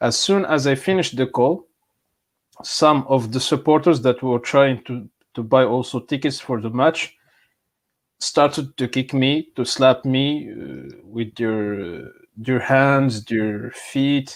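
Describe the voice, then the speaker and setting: A man at a very slow pace, in a very clean recording with a silent background. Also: medium pitch for a man, ordinary pitch variation. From Morocco. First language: Amazigh. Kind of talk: interview. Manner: halting.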